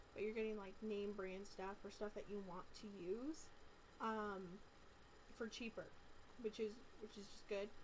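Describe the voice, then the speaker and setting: Light background noise sits under the speech. The pace is moderate and the intonation fairly even. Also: woman. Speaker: vlogger. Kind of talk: casual vlog chat. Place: home room. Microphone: webcam.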